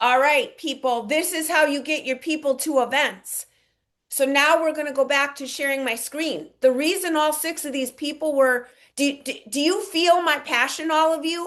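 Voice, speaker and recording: A woman with a high voice speaks at a moderate pace, with ordinary pitch variation and a quiet background. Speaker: network marketing team leader. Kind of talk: online team training. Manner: energetic, enthusiastic.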